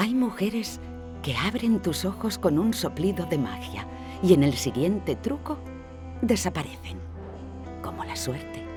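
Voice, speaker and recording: A woman's very deep, low voice with very wide pitch swings, a fairly slow pace, long and frequent pauses, and music in the background. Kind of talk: poetry reading.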